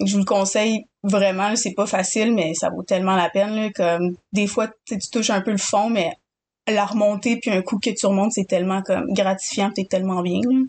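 A woman with a Quebec accent speaks at a medium pitch and a moderate pace. Her pitch varies in an ordinary way, and the background is quiet. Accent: Québécois French. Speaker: podcast co-host. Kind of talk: casual chat.

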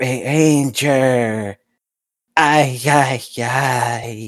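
This is a put-on character voice. Its pitch sits in the low-to-middle range. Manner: mechanical.

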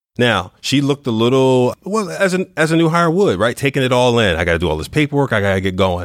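Over a silent background in a very clean recording, a man talks at a very fast pace with hardly any pauses and very wide pitch swings. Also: medium pitch for a man. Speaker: podcast host. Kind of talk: interview conversation.

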